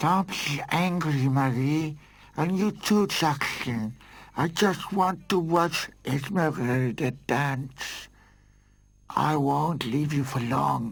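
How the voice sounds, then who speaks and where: A man does a cartoonish character voice with a fairly high pitch. He talks very slowly, and his pitch varies in an ordinary way. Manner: soft, gentle.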